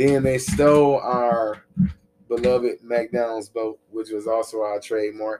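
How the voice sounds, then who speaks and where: A man speaks at a fairly slow pace in a plain, everyday voice, medium-pitched, with fairly even intonation. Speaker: podcast host. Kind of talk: casual podcast chat.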